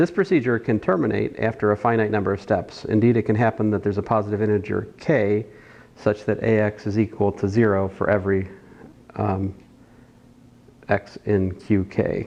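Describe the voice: Fairly low in pitch, a man speaks at a moderate pace with a slightly mellow tone. His intonation stays fairly even, with some vocal fry.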